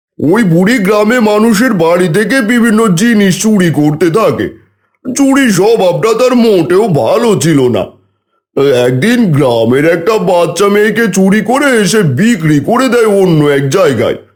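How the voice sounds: Using a cartoonish character voice, a man with a high pitch speaks at a fairly slow pace with lively intonation and very even loudness.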